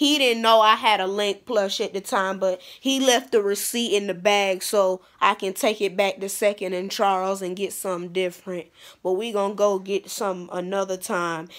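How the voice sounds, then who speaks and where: A woman speaks at a moderate pace with fairly even intonation over a quiet background. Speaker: vlogger. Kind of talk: casual vlog chat. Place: home room. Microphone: phone near.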